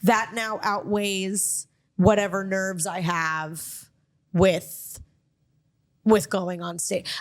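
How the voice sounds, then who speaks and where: With a Miami accent, the speaker goes very slowly with long, frequent pauses. The intonation stays fairly even, but the loudness swings widely. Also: woman, medium pitch for a woman. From Miami, Florida. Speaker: comedian and podcast host. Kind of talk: casual chat.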